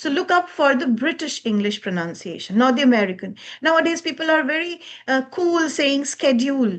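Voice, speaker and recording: With a Bengali accent, a woman speaks at a fairly quick pace in a high pitch, her voice making very wide pitch swings. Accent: Bengali Indian English. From eastern India, Bengal. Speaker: communication skills trainer. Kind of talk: lecture.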